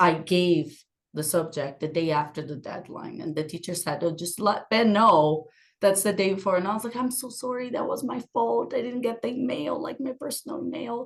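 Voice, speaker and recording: With a non-native accent, a woman speaks at a fairly quick pace in a medium pitch. Her pitch swings very widely. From Brazil. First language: Portuguese. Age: 30s. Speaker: podcast guest, working mother. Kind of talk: casual chat.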